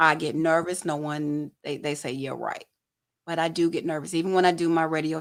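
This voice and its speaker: A woman with a Southern accent speaks in a very deep, low pitch with ordinary pitch variation and a fairly quick pace. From Detroit, Michigan (Southwest Detroit). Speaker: photojournalist and talk show host. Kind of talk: casual interview chat.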